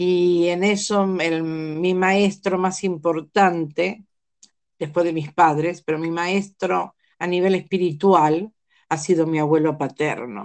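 A woman speaks at a very slow pace in a fairly low pitch. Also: fairly even intonation. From Argentina. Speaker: life coach and family constellations facilitator. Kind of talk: interview about family constellations.

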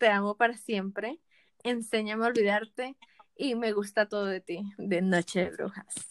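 Delivered at a fairly slow pace with fairly even intonation, a normal speaking voice comes through with a dry, close sound and no echo. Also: woman. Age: 20s. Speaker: podcast co-host. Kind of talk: casual chat.

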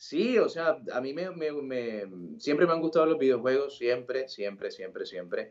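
Here a man speaks in a normal speaking voice at a fairly high pitch. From Colombia, Sincelejo, Sucre (Caribbean coast). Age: 20s. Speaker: football commentator. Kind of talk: casual interview.

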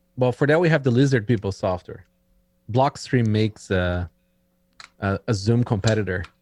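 A man with a Brazilian accent talks at a moderate pace and medium pitch, with ordinary pitch variation and long, frequent pauses. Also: dry, close sound with no echo. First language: Portuguese. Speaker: tech entrepreneur guest. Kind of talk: casual chat.

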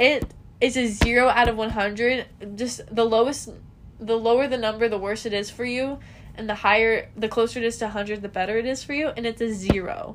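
In an ordinary speaking voice, a woman talks at a moderate pace with fairly even intonation. Her pitch is fairly high. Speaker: podcast co-host. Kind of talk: casual chat. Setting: bedroom, recording at home.

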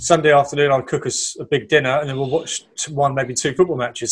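Somewhat breathy and fairly high in pitch, a man speaks with an English accent at a fairly quick pace and with fairly even intonation. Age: 30s. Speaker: podcast co-host. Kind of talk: casual chat.

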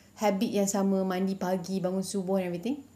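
Here a woman at a medium pitch speaks at a moderate pace in an ordinary speaking voice. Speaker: podcast guest. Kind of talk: casual chat.

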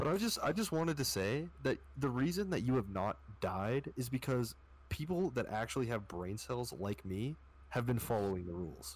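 With a Canadian accent, a man talks at a moderate pace and medium pitch, somewhat breathy. His pitch swings very widely on a very clean recording with a silent background. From Canada. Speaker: podcast guest. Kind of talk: casual chat.

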